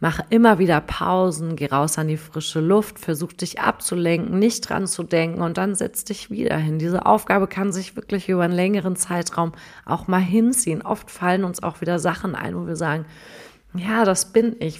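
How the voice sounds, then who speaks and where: Fairly low in pitch, a woman speaks at a moderate pace with ordinary pitch variation in an unremarkable speaking voice. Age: 30s. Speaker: life coach. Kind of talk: podcast monologue.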